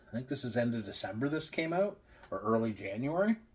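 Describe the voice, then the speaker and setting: At a medium pitch, a man's somewhat breathy voice makes very wide pitch swings. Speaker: beer reviewer. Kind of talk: casual vlog review. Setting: at home. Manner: quiet.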